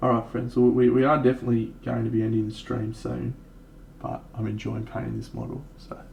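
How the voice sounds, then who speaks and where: Speaking fairly quickly, a man talks with an Australian accent. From Australia, Brisbane. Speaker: miniature painting streamer. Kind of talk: casual livestream chat. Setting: live stream.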